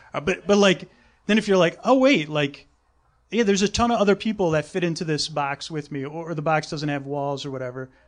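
With lively intonation and a fairly high pitch, a man speaks at a fairly quick pace over a quiet background. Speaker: sleep podcast host. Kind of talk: casual chat on live comedy podcast. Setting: stage with audience.

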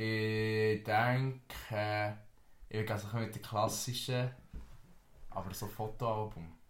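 Very slow delivery with long, frequent pauses, monotone, flat intonation and audible room echo. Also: man, fairly low pitch for a man. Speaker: podcast host. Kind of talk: casual chat.

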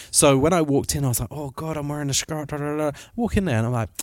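This man talks with ordinary pitch variation. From northern England. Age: 30s. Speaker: podcast host. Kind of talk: casual chat. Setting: outdoors.

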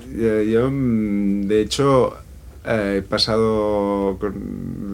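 A man with a fairly low pitch speaks in a room with audible echo. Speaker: singer and producer. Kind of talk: interview.

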